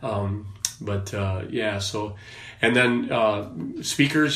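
Someone with an Upper Midwest accent is heard with audible room echo and noticeable background noise. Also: man. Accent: Upper Midwest American. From Wisconsin, US Upper Midwest. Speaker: former prison officer, men's ministry leader. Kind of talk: casual interview. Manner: hesitant, many fillers.

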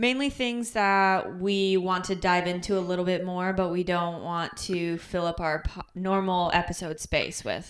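A woman with a slight Michigan accent speaks at a medium pitch with fairly even intonation. Her pace is fairly slow with hardly any pauses, on a very clean recording with a silent background. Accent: Michigan Midwestern, slight. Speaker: podcast co-host. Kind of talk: casual chat. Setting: in person, same room.

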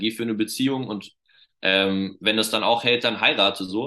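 A man speaks in a normal speaking voice at a fairly quick pace. His pitch is fairly low. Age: 20s. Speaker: children's pastor. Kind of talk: casual interview.

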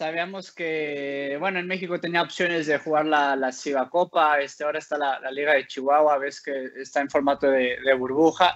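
In an ordinary speaking voice, a man talks at a moderate pace with hardly any pauses, his fairly high pitch held in fairly even intonation. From Mexico. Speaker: professional basketball player. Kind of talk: interview. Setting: video call.

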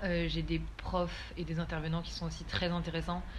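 Noticeable background noise is present along with audible echo from the room. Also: woman. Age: 20s. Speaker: business student. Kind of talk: casual interview.

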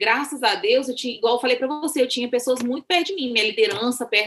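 Raising and projecting her voice, a woman speaks high and bright with a sharp edge and lively intonation. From Brazil, Minas Gerais (rural). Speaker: missionary. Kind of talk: interview.

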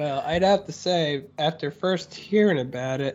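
A man with an American accent talks at a fairly slow pace in an ordinary speaking voice. His pitch is fairly high with ordinary pitch variation. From Florida, Orlando area. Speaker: podcast co-host, theme park content creator. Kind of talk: casual chat.

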